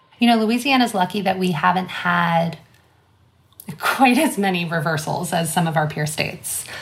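A woman with an American accent and a plain, everyday voice, fairly low in pitch, at a moderate pace. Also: lively intonation. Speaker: abortion fund director. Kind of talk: interview.

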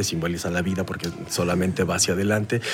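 Amid noticeable background noise, a man with a Mexican accent speaks at a fairly quick pace in a very deep, low voice with fairly even intonation. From Mexico. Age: 40s. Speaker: voice professional. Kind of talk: casual interview. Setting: hallway at a festival.

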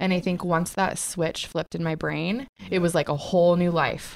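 With an American accent, a woman uses a plain, everyday voice at a fairly low pitch, speaking at a fairly quick pace with fairly even intonation. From US Pacific Northwest. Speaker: startup co-founder, graphic designer. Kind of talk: casual interview chat. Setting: studio.

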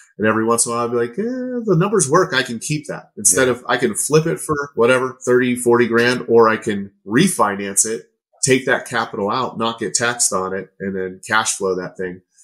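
Speaking at a fairly quick pace with lively intonation, a man uses an unremarkable speaking voice of medium pitch with an American accent. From Pittsburgh, Pennsylvania. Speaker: real estate investor. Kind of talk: casual interview chat.

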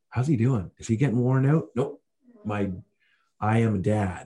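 A man with a Canadian accent speaks at a moderate pace in a medium pitch, his dark, mellow tone somewhat breathy and his pitch varying in an ordinary way. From Canada. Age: 40s. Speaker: customer experience consultant. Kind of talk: casual interview. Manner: animated.

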